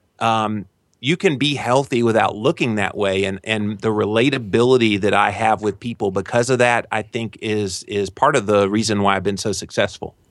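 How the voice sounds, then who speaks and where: A man talks in a plain, everyday voice with a fairly low pitch and fairly even intonation. His pace is moderate, with hardly any pauses. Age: 40s. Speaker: health author and podcaster. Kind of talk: interview.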